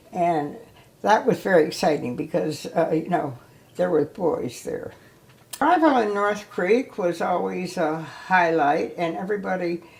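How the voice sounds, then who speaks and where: With an American accent, a woman speaks at a fairly slow pace with lively intonation over noticeable background noise. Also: fairly low pitch for a woman. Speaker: ski instructor. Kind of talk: oral history interview. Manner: reminiscent, hesitant.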